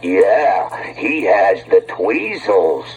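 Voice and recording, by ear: A man performs a cartoonish character voice over clear background noise.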